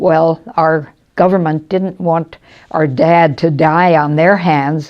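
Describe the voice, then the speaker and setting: A woman's fairly low voice in an American accent, at a very slow pace. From US Midwest, Chicago. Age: 80s+. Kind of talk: interview testimony. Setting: retirement home. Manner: halting, with hesitations.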